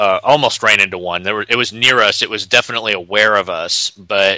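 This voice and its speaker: A man speaks in a plain, everyday voice. His pitch is fairly low and his pace fairly quick. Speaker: podcast co-host. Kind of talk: casual chat.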